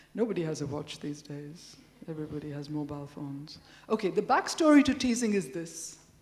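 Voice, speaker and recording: Lively intonation and big swings in loudness come at a fairly quick pace over noticeable background noise. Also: woman, very deep, low pitch for a woman. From India. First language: Telugu. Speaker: professor. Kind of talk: lecture. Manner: conversational.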